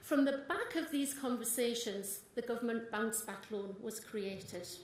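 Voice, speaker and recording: A woman with a North East England accent speaks fairly slowly at a fairly high pitch with ordinary pitch variation, and the room echo is audible. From North East England, Consett. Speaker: small business owner and party supporter. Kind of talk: campaign speech. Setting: stage with audience. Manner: animated.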